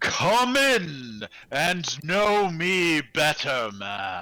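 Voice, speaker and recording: Putting on a booming character voice, a man speaks at a fairly high pitch with very wide pitch swings and a very slow pace. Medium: actual play. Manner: hearty, jovial.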